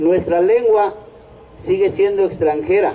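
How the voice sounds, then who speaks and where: A man speaks at a very slow pace with a Mexican accent. Noticeable background noise runs underneath. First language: Nahuatl (speaking Spanish). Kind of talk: protest speech. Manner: halting.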